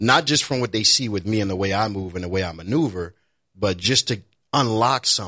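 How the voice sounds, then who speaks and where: A man with a fairly low pitch and a bright, sharp tone speaks at a fairly quick pace with ordinary pitch variation. The recording is very clean, the background silent. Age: 30s. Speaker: IT professional and nonprofit founder. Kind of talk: casual chat.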